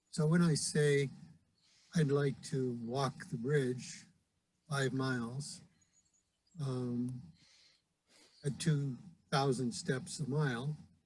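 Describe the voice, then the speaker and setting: A man with a fairly high pitch and a somewhat breathy voice speaks at a very slow pace, with long, frequent pauses and ordinary pitch variation. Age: 70s. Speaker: Rotarian. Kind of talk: recorded invitation talk. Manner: hesitant, many fillers.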